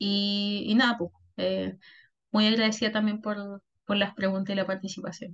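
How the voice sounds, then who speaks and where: The voice is somewhat breathy and moves at a moderate pace. Its intonation is monotone and flat. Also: woman, medium pitch for a woman. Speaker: workshop facilitator, intellectual property consultant. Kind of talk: workshop presentation.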